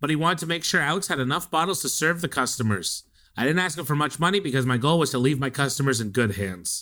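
Talking very fast with lively intonation, a man uses a bright, sharp tone at a fairly high pitch on a very clean recording with a silent background. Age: 30s. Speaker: podcast co-host. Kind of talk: casual chat.

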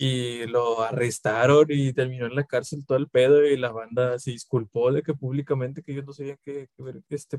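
With a Mexican accent, a man speaks in a medium pitch with monotone, flat intonation, the sound dry and close with no echo. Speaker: podcast co-host. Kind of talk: casual chat.

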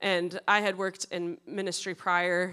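A woman with an American accent speaks at a fairly slow pace and a fairly low pitch, her tone bright and sharp, on a very clean recording with a silent background. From US Midwest, western Wisconsin. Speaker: church youth ministry staff. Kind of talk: interview before a congregation. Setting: church service with congregation.

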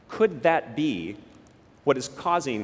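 A man with an American accent, fairly high-pitched and with vocal fry, at a moderate pace with very wide pitch swings. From southern Utah, US. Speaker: particle physicist giving a talk. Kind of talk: public talk to an audience.

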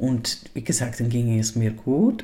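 A man's somewhat breathy voice, medium in pitch, with a dark, mellow tone, a fairly slow pace and ordinary pitch variation. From Liechtenstein. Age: 40s. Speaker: podcaster. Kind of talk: personal monologue. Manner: halting, many fillers.

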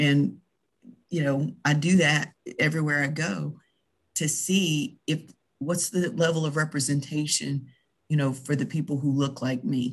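Speaking at a fairly slow pace with an American accent, the voice leaves long, frequent pauses. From US South. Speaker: podcast co-host. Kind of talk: casual chat.

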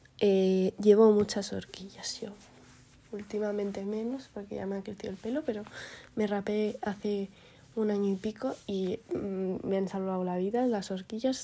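At a fairly slow pace, a woman speaks at medium pitch with a dark, mellow tone and fairly even intonation. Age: young. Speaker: podcaster. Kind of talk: casual monologue. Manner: rambling, hesitant.

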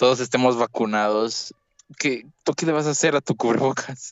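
A man speaks in a plain, everyday voice at a moderate pace. His medium pitch shows ordinary variation. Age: young. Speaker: podcast co-host. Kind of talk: casual chat.

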